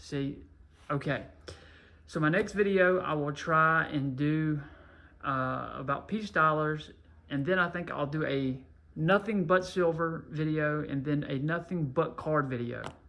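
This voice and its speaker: A man speaks at a fairly high pitch with ordinary pitch variation and long, frequent pauses. Audible room echo surrounds his voice. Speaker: coin and card collecting youtuber. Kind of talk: casual monologue. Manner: slow; halting.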